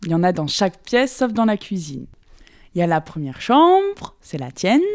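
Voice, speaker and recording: Her tone is dark and mellow, with very wide pitch swings at a moderate pace. The woman is heard in a very clean recording with a silent background. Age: 20s. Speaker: roommate being interviewed. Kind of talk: casual chat. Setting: apartment at home.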